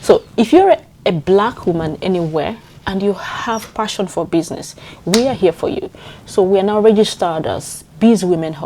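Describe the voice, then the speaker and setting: A woman with a Nigerian accent speaks at a moderate pace in a medium pitch, her pitch varying in an ordinary way over noticeable background noise. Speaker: community leader. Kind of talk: interview answer.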